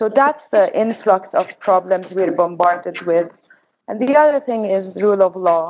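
This woman has an Arabic accent and a medium pitch. Her intonation is lively, and she talks at a moderate pace. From Jordan, Palestinian family. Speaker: organizer and nonprofit co-director. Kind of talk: panel presentation.

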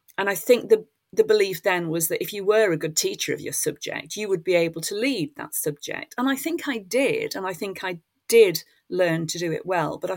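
A woman talks at a fairly quick pace. She has an English accent. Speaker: retired school head and education author. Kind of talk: interview. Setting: video call.

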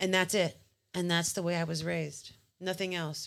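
The woman's pitch is fairly low. She talks at a very fast pace. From US mainland. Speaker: podcast panelist. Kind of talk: casual chat.

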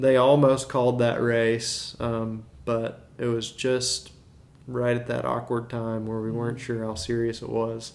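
A man speaks in an American accent at a fairly slow pace. His intonation is flat and monotone. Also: medium pitch for a man. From US South, Birmingham, Alabama. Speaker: amateur cyclist. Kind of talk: casual chat. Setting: at home.

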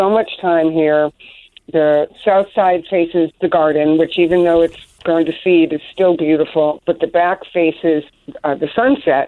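A woman speaks at a fairly slow pace with a fairly low pitch. Her loudness stays very even. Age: 60s. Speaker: garden business owner and landscape designer. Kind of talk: interview. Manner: warm, enthusiastic.

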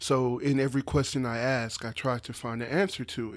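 Using a plain, everyday voice, a man talks in a medium pitch with fairly even intonation. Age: 20s. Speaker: podcast host. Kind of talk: solo monologue.

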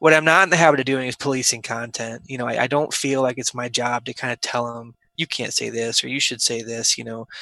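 At a fairly quick pace, a man talks in a bright, sharp tone, the sound dry and close with no echo over a quiet background. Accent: Midwestern American. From US Midwest, Omaha, Nebraska. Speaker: surgeon. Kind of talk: interview.

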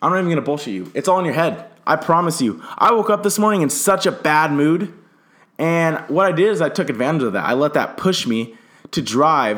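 Having a normal speaking voice with an American accent, a man talks at a fairly quick pace with a fairly high pitch and lively intonation. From Southern California. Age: young. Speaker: entrepreneur podcaster. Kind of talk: motivational monologue. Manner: casual.

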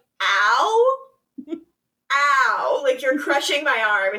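Putting on a character voice, a woman talks very slowly at a high pitch. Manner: pained, complaining.

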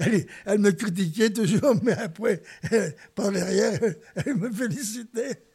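The voice has a dark, mellow tone, with ordinary pitch variation at a fairly slow pace. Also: man, high pitch for a man. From Spain (Barcelona area), then central France. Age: 80s+. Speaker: retired Spanish teacher and former refugee. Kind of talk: personal life testimony. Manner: halting, with many hesitations.

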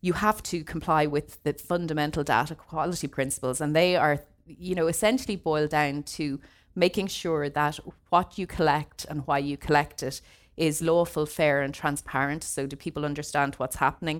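A woman speaks with an Irish accent. Her pitch is very deep and low, and her pace is moderate. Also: fairly even intonation. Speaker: data protection lawyer. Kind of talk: seminar presentation. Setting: seminar room with audience, streamed online.

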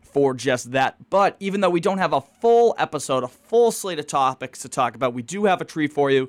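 A man talks fairly quickly in an ordinary speaking voice, fairly high in pitch, with lively intonation. The recording is very clean, with a silent background. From Eastern Massachusetts (Quincy). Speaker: student podcast host. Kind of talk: interview.

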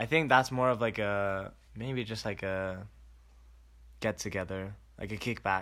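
At a fairly slow pace and with long, frequent pauses, a man talks in a bright, sharp tone at a fairly low pitch with ordinary pitch variation, on a very clean recording with a silent background. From Japan. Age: 20s. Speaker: podcast co-host, college student. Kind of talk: casual chat. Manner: halting, many fillers.

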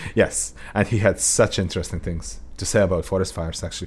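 There is vocal fry in this man's very deep, low-pitched voice. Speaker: radio host. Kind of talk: casual chat. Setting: studio.

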